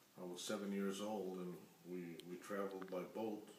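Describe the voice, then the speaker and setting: Over noticeable background noise, a man speaks at a moderate pace with fairly low pitch. Room echo is audible. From Mexico. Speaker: grandfather interviewed about family history. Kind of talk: family history interview. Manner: halting.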